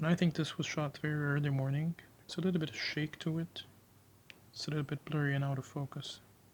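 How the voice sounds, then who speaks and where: A somewhat breathy man with a fairly high pitch and monotone, flat intonation. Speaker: photographer. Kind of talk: tutorial. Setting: indoors. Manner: slow; calm, not raising voice.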